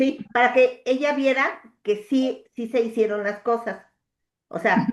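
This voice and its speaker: A woman speaks at a very slow pace with a high pitch. Her intonation stays fairly even. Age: 60s. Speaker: coaching client. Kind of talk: coaching session conversation. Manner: hesitant, many fillers.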